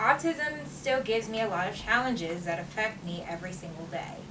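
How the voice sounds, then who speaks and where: Against noticeable background noise and audible room echo, a woman talks at a moderate pace with lively intonation. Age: 20s. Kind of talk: prepared speech read aloud. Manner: loud, repeats herself.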